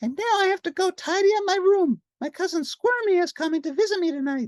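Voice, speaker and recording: A put-on character voice, squeaky and extremely high in pitch, moves at a fairly quick pace. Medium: read story.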